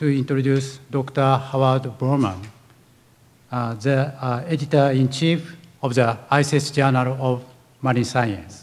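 The speaker is a man who talks at a fairly slow pace. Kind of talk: formal speaker introduction. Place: hall. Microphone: podium.

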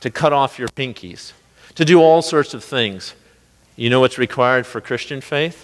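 With an American accent, a man talks at a moderate pace with ordinary pitch variation. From US Midwest. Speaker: pastor. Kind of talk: sermon. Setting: church. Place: church.

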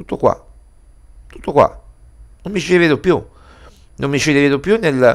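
With vocal fry, a man speaks at a moderate pace against a quiet background. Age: 40s. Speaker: sports journalist and editor. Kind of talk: video commentary monologue. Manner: halting, many fillers. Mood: disappointed, earnest. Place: home room. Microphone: headset.

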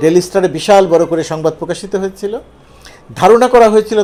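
With noticeable background noise behind him, a man speaks using lively intonation. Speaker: political commentator. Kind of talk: monologue commentary on news.

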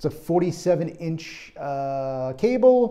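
The background stays quiet. A man's voice has a dark, mellow tone. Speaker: product reviewer. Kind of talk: casual review talk. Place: home room. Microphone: lapel.

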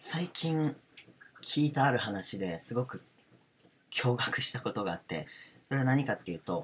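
Swinging very widely in pitch around a medium level, a man talks at a moderate pace with long, frequent pauses. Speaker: parent, homeschool educator. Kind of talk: casual spoken talk on self-development.

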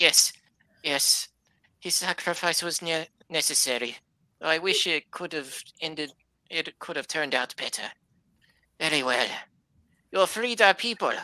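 In a very clean recording with a silent background, a man doing a put-on character voice speaks at a fairly high pitch and a moderate pace, with long, frequent pauses. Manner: humble, grieving.

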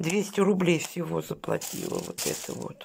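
Against light background noise, a woman talks at a fairly slow pace with vocal fry. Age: 50s. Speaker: vlogger. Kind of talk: casual vlog haul. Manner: chatty, colloquial. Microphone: phone near.

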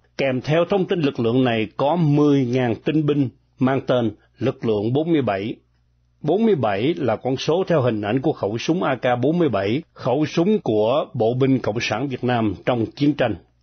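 A somewhat breathy man speaks with medium pitch and lively intonation. His pace is very slow and his loudness very even. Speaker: radio news reader. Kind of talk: news reading. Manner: formal.

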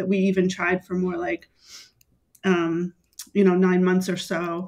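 A woman talks at a moderate pace. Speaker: mother sharing personal story. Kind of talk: interview testimony. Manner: halting, many fillers.

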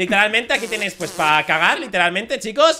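Over music in the background, a man with a high pitch uses a raised, projected voice with very wide pitch swings. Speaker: gaming YouTuber. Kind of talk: gameplay commentary. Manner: animated.

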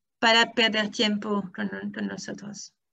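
A woman speaks very slowly in a bright, sharp tone against a quiet background. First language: French (speaking Spanish). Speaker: academic researcher; academic lecturer. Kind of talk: lecture. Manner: halting.

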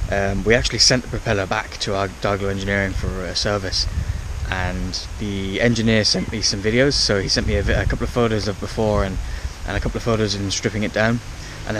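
Speaking at a very fast pace with fairly even intonation, a man's fairly low voice comes through a dry sound with no echo and noticeable background noise. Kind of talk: casual vlog chat. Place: waterside. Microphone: phone near.

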